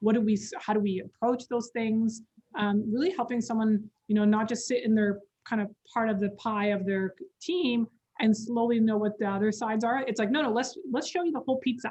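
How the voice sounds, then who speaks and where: A woman talks at a very fast pace with ordinary pitch variation. Her pitch is fairly high. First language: not English. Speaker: communications company employee, guest speaker. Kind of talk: webinar interview.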